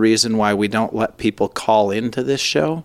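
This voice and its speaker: A man talks at a fairly slow pace with a medium pitch and ordinary pitch variation, the sound dry and close with no echo on a very clean recording with a silent background. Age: 40s. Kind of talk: casual chat. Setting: studio.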